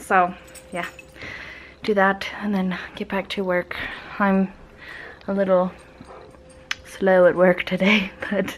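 Light noise sits in the background as a woman talks. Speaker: vlogger. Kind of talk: casual vlog chat. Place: home room. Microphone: phone near.

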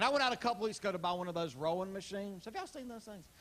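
A man with a Southern US accent speaks over noticeable background noise. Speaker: stand-up comedian. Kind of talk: live stand-up comedy set. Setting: live audience on a cruise ship.

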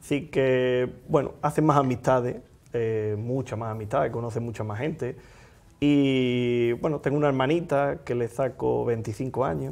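Fairly slow pace and ordinary pitch variation from a man. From Andalusia, Spain. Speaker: magician. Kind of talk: casual interview chat. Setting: studio. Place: studio. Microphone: lapel.

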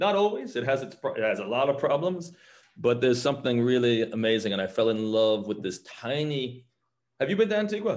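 With a New York accent, a man talks at a fairly quick pace, his pitch swinging very widely. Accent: New York American English. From US Northeast, New York. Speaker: mezcal brand founder. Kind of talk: casual interview. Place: home room. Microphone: video call.

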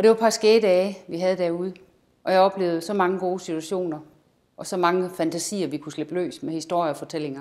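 Against a quiet background, a woman speaks at a very fast pace with ordinary pitch variation and big swings in loudness. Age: 50s. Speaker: amateur actor. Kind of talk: self-presentation. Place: studio.

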